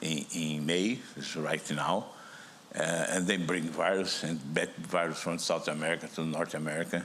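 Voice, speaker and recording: A man with a Brazilian accent speaks at a moderate pace in a very deep, low pitch with monotone, flat intonation. Audible room echo surrounds his voice. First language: Portuguese. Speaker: virology professor. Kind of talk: conference talk. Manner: halting, with repetitions.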